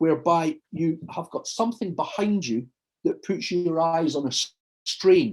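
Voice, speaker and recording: Moderate pace and lively intonation from a man with a Glasgow accent, at a fairly high pitch. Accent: Scottish (Glasgow). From Scotland, Glasgow. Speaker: surgeon and hypnotherapist. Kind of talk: talk before guided hypnosis session. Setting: video call.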